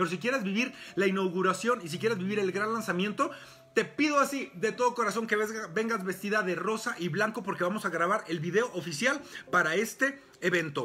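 Over noticeable background noise, a man with a high pitch uses a raised, projected voice and an animated tone at a fairly quick pace. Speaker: sexologist and physician, podcast host. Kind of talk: motivational talk on a live stream.

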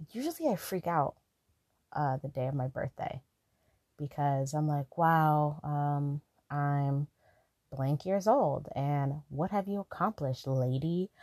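A woman speaks with a very deep, low pitch and a dark, mellow tone, using ordinary pitch variation and long, frequent pauses. The sound is dry and close with no echo, over a quiet background. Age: 20s. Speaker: podcast host. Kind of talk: casual solo podcast monologue. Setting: lying down, not in usual studio. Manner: laid-back, quiet like a phone chat.

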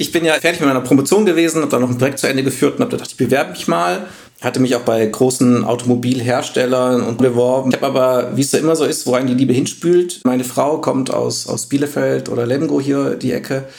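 Over noticeable background noise, a man at medium pitch talks very fast with hardly any pauses and ordinary pitch variation. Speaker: data science team lead. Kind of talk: podcast interview. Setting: video call.

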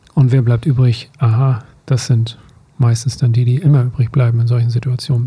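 A man delivers his lines at a moderate pace and medium pitch, in a monotone, flat intonation. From rural Germany, grew up on a farm. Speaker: teacher, podcast co-host. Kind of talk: casual chat. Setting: studio, sitting face to face.

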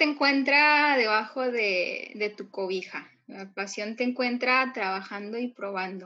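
A woman's high, bright and sharp voice at a very slow pace, with hardly any pauses, ordinary pitch variation and big swings in loudness. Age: 20s. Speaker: lettering artist and course teacher. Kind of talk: interview.

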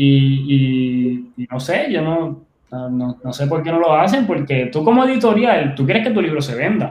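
A man with an unremarkable speaking voice and a fairly high pitch talks at a fairly slow pace. His intonation is lively, and he leaves hardly any pauses. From Puerto Rico, Ponce. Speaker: entrepreneur and writer. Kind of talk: interview.

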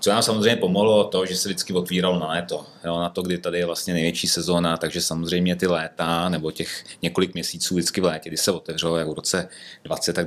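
A man's very deep, low voice. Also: very clean recording, silent background. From northern Bohemia, Czech Republic (Ústí). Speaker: brewery owner and entrepreneur. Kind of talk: casual interview. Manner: hesitant, many fillers.

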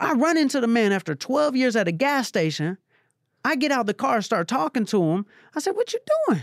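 On a very clean recording with a silent background and a dry, close sound with no echo, a man with an American accent speaks at a fairly quick pace in an animated tone, his extremely high pitch swinging very widely while his loudness stays very even. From Atlanta, US South. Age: 30s. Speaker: motivational speaker and former music manager. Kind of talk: casual interview chat.

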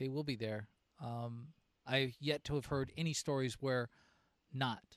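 This man has an unremarkable speaking voice at a medium pitch. He talks at a fairly slow pace with fairly even intonation. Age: 50s. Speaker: business coach and podcast host. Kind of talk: casual interview. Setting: outdoors on a back deck.

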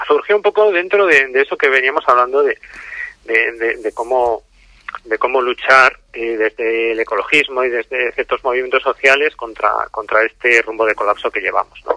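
With lively intonation and medium pitch, a man speaks at a moderate pace in a dry, close sound with no echo. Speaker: author and activist. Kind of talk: interview. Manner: halting, many fillers.

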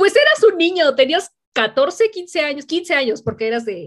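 Moderately paced speech from a woman with a Mexican accent, her pitch swinging very widely. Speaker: podcast host. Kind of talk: casual chat.

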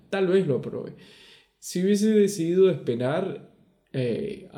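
The voice has a dark, mellow tone, and the room echo is audible. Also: man. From Venezuela. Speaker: podcast co-host. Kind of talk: casual chat.

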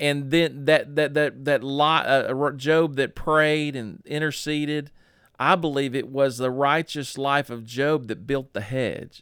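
Speaking fairly slowly with a Southern US accent, a man keeps his intonation fairly even in a very clean recording with a silent background. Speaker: pastor. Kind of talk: podcast interview, testimony.

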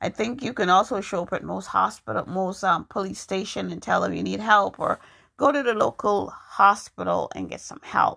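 A woman at a moderate pace with big swings in loudness, on a very clean recording with a silent background. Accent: American. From New York. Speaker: podcast host and poet. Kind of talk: solo podcast monologue. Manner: casual, halting with fillers.

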